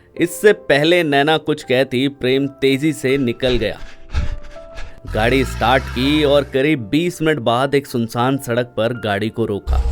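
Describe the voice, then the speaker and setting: Over music in the background, a man speaks at a medium pitch with ordinary pitch variation. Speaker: storyteller, former radio jockey. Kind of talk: emotional love story narration.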